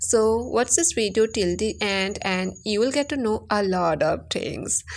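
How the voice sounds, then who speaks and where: A woman speaks at a fairly slow pace in an Assam accent. Her pitch is medium, with ordinary variation. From India, Assam (village). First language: Assamese. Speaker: English teacher YouTuber. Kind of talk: tutorial.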